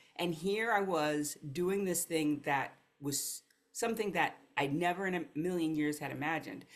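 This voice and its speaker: At a moderate pace, a woman with a Mid-Atlantic US accent talks at a fairly low pitch with ordinary pitch variation. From US East Coast, Philadelphia and New Jersey suburbs. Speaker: life coach. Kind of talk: interview.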